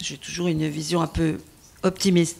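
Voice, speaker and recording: A woman's fairly low voice with vocal fry. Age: 60s. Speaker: teacher. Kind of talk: testimony. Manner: halting; animated.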